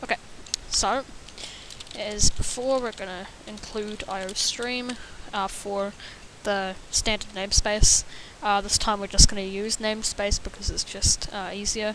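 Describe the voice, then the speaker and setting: A woman speaks at medium pitch and a fairly slow pace, her intonation monotone and flat, with long, frequent pauses. Her loudness swings widely over noticeable background noise. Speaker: programming tutor. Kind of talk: tutorial. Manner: halting, many fillers; stutter.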